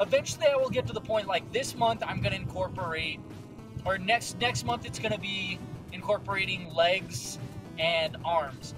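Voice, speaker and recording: Clear music plays in the background as a man talks in a dry recording with no echo. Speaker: fitness vlogger. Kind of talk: casual vlog chat. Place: car. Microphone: phone near.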